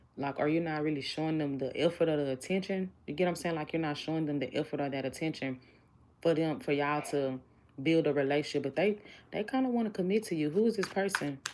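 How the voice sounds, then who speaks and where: At a very fast pace, a woman with a very deep, low voice speaks with lively intonation. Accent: Southern US. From Houston, Texas. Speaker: tarot reader. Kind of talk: livestream tarot reading. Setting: live stream. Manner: casual, conversational.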